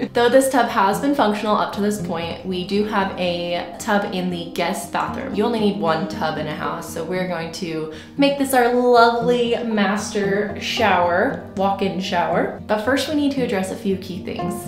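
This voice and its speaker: Over noticeable background noise, a woman talks at a moderate pace with ordinary pitch variation and hardly any pauses. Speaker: home renovation vlogger. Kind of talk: casual vlog chat. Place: bathroom. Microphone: phone near.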